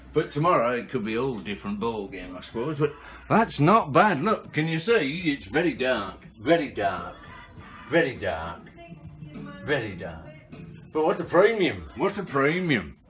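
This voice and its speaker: With faint music in the background, a man talks at a moderate pace, taking long, frequent pauses. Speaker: home vlogger. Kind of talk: casual vlog chat. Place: home room. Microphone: phone near.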